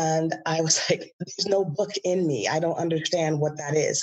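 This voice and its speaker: Here a woman speaks at a fairly low pitch with ordinary pitch variation. Her voice is somewhat breathy. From Bahamas. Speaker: educator and author. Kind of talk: interview.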